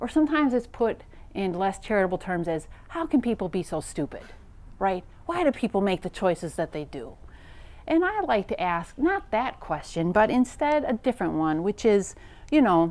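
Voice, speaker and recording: A Wisconsin accent at a moderate pace, with very wide pitch swings. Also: woman, medium pitch for a woman. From US Midwest, Wisconsin. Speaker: professor. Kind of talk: lecture.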